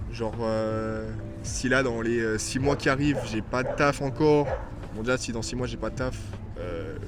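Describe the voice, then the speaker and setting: A man's medium-pitched voice at a fairly slow pace with ordinary pitch variation, audible room echo and music in the background. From southern France. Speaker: vlogger. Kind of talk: casual Q&A vlog. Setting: outdoors in a park. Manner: hesitant, many fillers.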